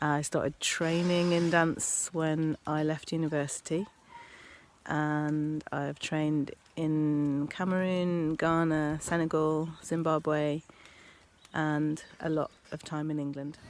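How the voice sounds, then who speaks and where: Very slow and monotone with flat intonation, a woman with an English Midlands accent speaks at a very deep, low pitch. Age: 40s. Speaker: dancer. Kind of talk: interview.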